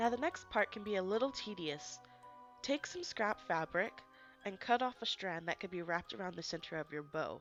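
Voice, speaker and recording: With music in the background, a woman talks at a moderate pace in a medium pitch that swings very widely. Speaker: DIY crafts tutorial host. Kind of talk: craft tutorial instructions. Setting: home recording, low volume.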